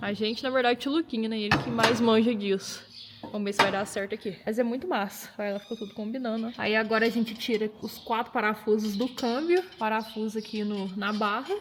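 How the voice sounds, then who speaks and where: The speech moves at a fairly quick pace with hardly any pauses. Pitch varies in an ordinary way over noticeable background noise. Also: woman, fairly high pitch for a woman. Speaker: car restoration youtuber. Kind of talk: casual workshop vlog.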